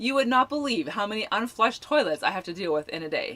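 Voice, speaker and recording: Over noticeable background noise, a woman with a fairly high pitch talks at a moderate pace, her voice making very wide pitch swings. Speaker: full-time RVer and campground workamper, video channel host. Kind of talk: casual live chat. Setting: livestream video.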